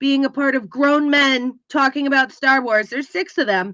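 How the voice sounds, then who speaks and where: Against a quiet background, a woman speaks in a high pitch with a raised, projected voice. Her tone is bright and sharp. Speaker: podcast co-host. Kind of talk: casual chat. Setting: live stream. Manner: animated.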